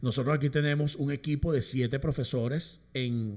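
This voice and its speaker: A man speaks with a somewhat breathy voice against a quiet background. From Venezuela, Caracas. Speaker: musician and orchestra conductor; guest. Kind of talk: interview. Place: studio. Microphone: studio mic.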